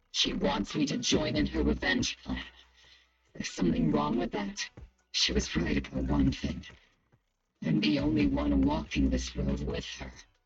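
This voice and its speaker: A man's put-on character voice, very deep and low in pitch, with long, frequent pauses. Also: moderate pace. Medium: video game.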